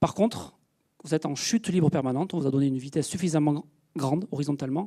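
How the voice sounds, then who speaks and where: Talking at a very fast pace, a man uses ordinary pitch variation in a dark, mellow tone. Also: very clean recording, silent background. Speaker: space engineer, project manager. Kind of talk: public lecture. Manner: hesitant, many fillers.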